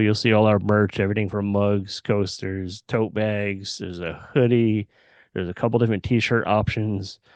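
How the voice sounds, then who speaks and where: Against a quiet background, a man with an ordinary speaking voice talks at a moderate pace, fairly low in pitch with fairly even intonation. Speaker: podcast host. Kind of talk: casual chat.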